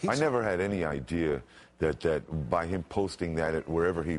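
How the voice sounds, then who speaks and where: With vocal fry, a man speaks in a very deep, low pitch with ordinary pitch variation. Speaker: homeless man, radio announcer. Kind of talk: TV interview answer. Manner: emotional, grateful.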